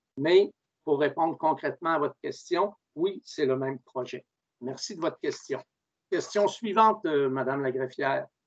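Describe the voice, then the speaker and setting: A man with a plain, everyday voice, fairly high pitch, lively intonation and a fairly slow pace over a quiet background. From Quebec. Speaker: mayor chairing a municipal council meeting; mayor chairing council meeting. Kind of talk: council meeting proceedings. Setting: video conference. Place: home room. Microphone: video call.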